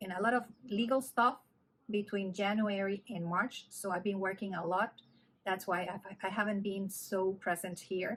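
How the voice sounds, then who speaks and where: A woman speaks with a Spanish accent at a medium pitch and a moderate pace. Her voice is somewhat breathy, with fairly even intonation. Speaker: knitting vlogger. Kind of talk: casual vlog chat. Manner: halting, with fillers.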